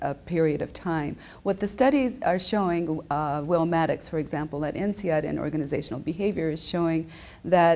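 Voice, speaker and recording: Speaking at a moderate pace with ordinary pitch variation, a woman with a Japanese accent is heard on a very clean recording against a silent background. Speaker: business school professor. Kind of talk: interview.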